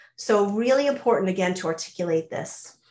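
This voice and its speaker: Lively intonation marks this woman's speech, in an American accent. Her pitch is fairly high. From US suburbs. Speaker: mentoring coach, company CEO. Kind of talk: webinar presentation. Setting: online webinar. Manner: fast.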